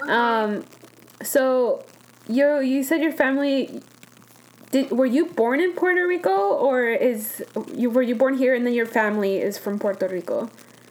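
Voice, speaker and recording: A woman with a high-pitched voice and lively intonation talks at a moderate pace over noticeable background noise. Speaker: podcast host. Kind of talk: interview, casual chat.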